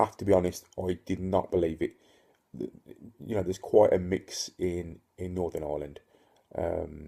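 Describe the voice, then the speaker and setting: A man's very deep, low voice with a dark, mellow tone, somewhat breathy, in a monotone, flat delivery at a moderate pace. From Northern Ireland (Ulster). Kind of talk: casual talk to camera. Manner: hesitant, many fillers.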